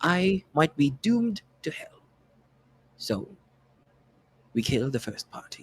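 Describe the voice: A man's put-on character voice in a British accent, fairly high with big pitch swings and a slightly husky edge, at a slow pace, in a dry, close sound with no echo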